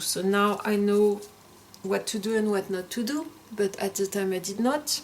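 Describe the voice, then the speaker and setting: A woman with a strong French accent, medium pitch and fairly even intonation, at a moderate pace amid noticeable background noise. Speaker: tarot content creator. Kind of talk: casual show-and-tell video. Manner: halting, with frequent fillers and restarts.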